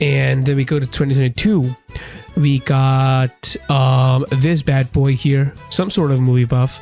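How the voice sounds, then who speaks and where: With music in the background, a man speaks at a medium pitch and with fairly even intonation. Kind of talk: casual gaming commentary.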